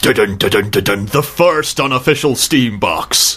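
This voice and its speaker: Over light background noise, a man uses a put-on character voice at a fairly high pitch and a moderate pace. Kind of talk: broadcast style. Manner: dramatic, grand, announcer-like.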